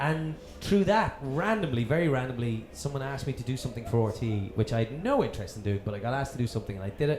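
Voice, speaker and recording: Through noticeable background noise and audible room echo, a man races along at a very fast pace, medium in pitch with lively intonation. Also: hardly any pauses. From Dublin, Ireland. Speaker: TV presenter. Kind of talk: casual chat. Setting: stage with audience.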